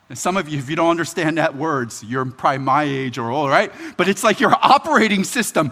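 The speaker talks at a fairly quick pace in an American accent, with a bright, sharp tone and very wide pitch swings. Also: man. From Philadelphia, US. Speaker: pastor. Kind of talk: sermon. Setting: church.

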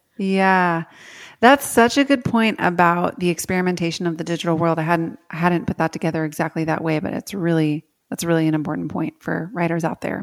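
In a very clean recording with a silent background and a dry, close sound with no echo, a woman with a plain, everyday voice speaks at a fairly quick pace, her pitch fairly low and its variation ordinary. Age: 30s. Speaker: podcast host and writing coach. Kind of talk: interview.

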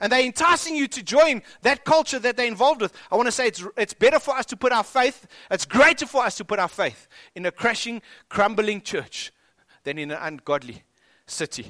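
Extremely high in pitch for a man, his raised, projected voice has a bright, sharp tone, very wide pitch swings and a fairly quick pace, recorded very cleanly against a silent background. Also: dry, close sound with no echo. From South Africa. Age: 40s. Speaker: pastor. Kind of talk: sermon.

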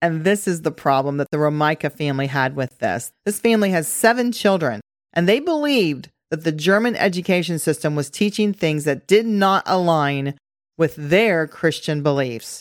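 A woman's normal speaking voice, fairly low in pitch, moderate in pace, lively in intonation, on a very clean recording with a silent background. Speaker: podcast host. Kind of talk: scripted-style political commentary podcast. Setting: studio with new microphone setup. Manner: bantering, joking.

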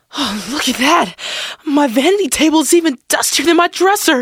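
In a put-on character voice, a man speaks at an extremely high pitch with a fairly bright tone, lively intonation and a moderate pace, the sound dry and close with no echo.

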